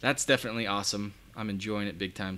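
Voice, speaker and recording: A man's bright, sharp tone. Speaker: custom car lighting installer and online course creator. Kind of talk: casual live stream chat. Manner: animated.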